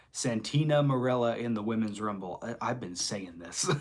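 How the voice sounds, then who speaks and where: The pace is moderate. Pitch variation is ordinary. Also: man. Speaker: live streamer. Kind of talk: casual chat. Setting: livestream.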